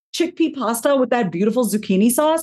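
The speech is very fast and somewhat breathy, with lively intonation. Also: woman. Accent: American. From New York. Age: 40s. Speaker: therapist and author. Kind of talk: casual interview.

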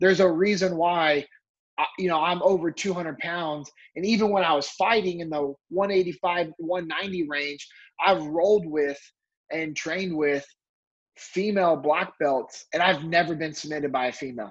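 With an American accent, a man talks at a fairly slow pace in a high pitch with ordinary pitch variation. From California. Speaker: former Navy SEAL and leadership speaker. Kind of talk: casual interview chat. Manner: stutters at times, mixes words.

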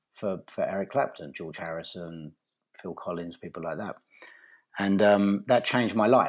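On a very clean recording with a silent background, a man with an ordinary speaking voice talks at a fairly quick pace, his pitch fairly low and its variation ordinary. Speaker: live production industry executive. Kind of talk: interview.

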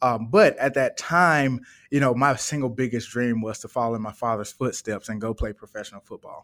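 Heard in a very clean recording with a silent background, a man with a medium pitch and an American accent uses a normal speaking voice at a fairly quick pace, with ordinary pitch variation. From US South, Birmingham, Alabama. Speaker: entrepreneur. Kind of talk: interview.

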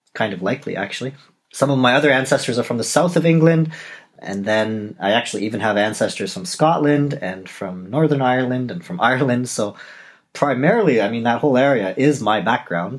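This man has an unremarkable speaking voice with a Canadian accent. He talks at a fairly quick pace and medium pitch. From Canada, Toronto. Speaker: novelist and podcast host. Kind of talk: solo podcast monologue.

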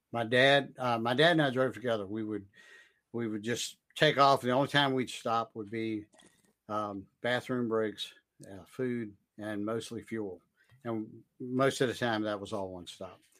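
A man's medium-pitched voice at a fairly slow pace, with long, frequent pauses, fairly even intonation and big swings in loudness. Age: 60s. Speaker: tech consultant and trainer. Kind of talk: casual chat. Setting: live stream.

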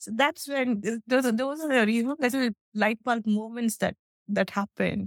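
Fairly even intonation in an Indian accent. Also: woman, fairly high pitch for a woman, moderate pace, dry, close sound with no echo. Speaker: software testing leader and public speaker. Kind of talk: interview. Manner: hesitant, many fillers.

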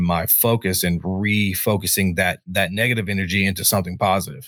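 On a very clean recording with a silent background, a man with an unremarkable speaking voice talks fairly quickly at a fairly low pitch with fairly even intonation. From North Carolina. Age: 20s. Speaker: army veteran, podcaster. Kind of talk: casual chat.

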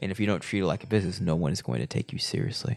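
There's vocal fry in this man's voice. His pitch rises and falls across a very wide range. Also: very clean recording, silent background. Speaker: podcast host. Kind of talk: casual chat.

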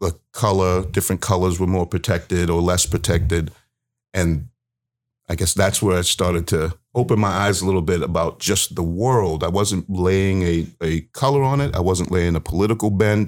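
With an East Coast US accent, a man of very deep, low pitch talks at a moderate pace, his loudness very even and pitch varying ordinarily, in a very clean recording with a silent background. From US East Coast, Baltimore. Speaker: community speaker sharing experiences with police. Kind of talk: interview storytelling.

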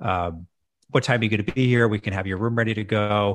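This man has a Canadian accent and an unremarkable speaking voice, fairly low in pitch at a fairly quick pace. The recording is very clean, with a silent background. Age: 40s. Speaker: hotel management consultant. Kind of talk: casual chat.

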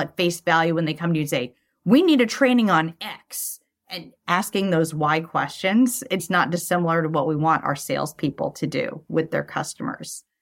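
A woman with an American accent speaks at a moderate pace with hardly any pauses. Her intonation is lively. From US West Coast, Los Angeles (San Fernando Valley). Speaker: sales enablement leader. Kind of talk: interview.

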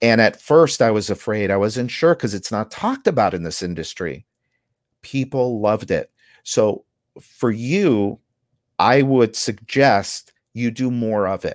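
An unremarkable speaking voice from a man at medium pitch, fairly slow with ordinary pitch variation, dry and close with no echo, on a very clean recording with a silent background. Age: 50s. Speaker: contractor business coach and podcaster. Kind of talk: interview.

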